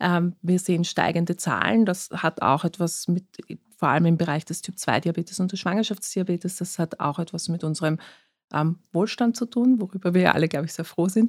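A woman's plain, everyday voice, fairly low in pitch with ordinary pitch variation, at a moderate pace, dry and close with no echo on a very clean recording with a silent background. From Austria, Vienna. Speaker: physician, diabetologist. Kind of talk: interview.

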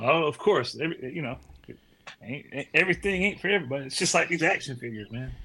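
Noticeable background noise sits under a very fast pace and lively intonation. Loudness swings widely. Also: man, fairly high pitch for a man. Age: 40s. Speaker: pastor and plumber. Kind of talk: casual chat.

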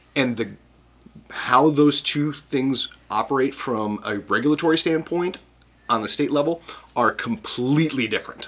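With an American accent, a man talks at a moderate pace in a normal speaking voice, his fairly high pitch showing ordinary pitch variation. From US Midwest, Chicago. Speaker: brewers' trade association director. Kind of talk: casual interview.

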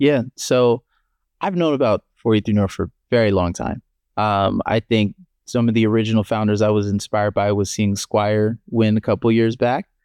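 In an American accent, a man with an unremarkable speaking voice talks at a moderate pace and a fairly low pitch, with fairly even intonation, over a quiet background in a dry, close sound with no echo. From Maryland, US. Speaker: startup founder. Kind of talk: casual interview.

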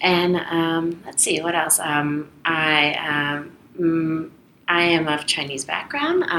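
A woman's very deep, low voice with a Canadian accent, monotone and flat, at a very slow pace over noticeable background noise. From Toronto, Canada. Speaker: international trade lawyer. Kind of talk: interview. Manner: halting, many fillers.

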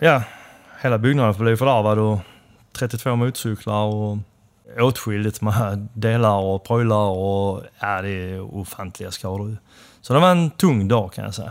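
In a very clean recording with a silent background, a man speaks at a fairly slow pace in an unremarkable speaking voice, fairly low in pitch with ordinary pitch variation. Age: 50s. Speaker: motorcycle builder and shop owner. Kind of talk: casual interview. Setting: motorcycle shop.

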